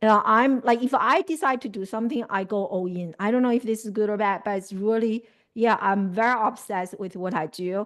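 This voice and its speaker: A woman with a Chinese accent at a moderate pace, with ordinary pitch variation. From China. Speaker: life coach. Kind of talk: interview. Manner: animated.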